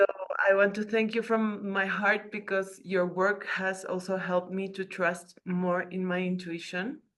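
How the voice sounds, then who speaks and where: Speaking at a fairly slow pace, a woman with a slight Spanish accent keeps a medium pitch and a monotone, flat intonation. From Peru. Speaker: participant on a video call. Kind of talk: casual testimony.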